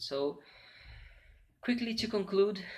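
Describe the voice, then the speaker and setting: A man with a Portuguese accent, lively intonation and a fairly slow pace. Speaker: literature student. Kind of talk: academic presentation. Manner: halting, many fillers.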